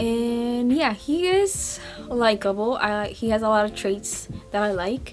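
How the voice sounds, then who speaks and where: With a non-native accent, the speaker talks at a fairly slow pace while music plays in the background. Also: woman, fairly high pitch for a woman, ordinary pitch variation. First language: not English. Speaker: book vlogger. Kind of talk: casual book review vlog. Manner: halting, self-correcting.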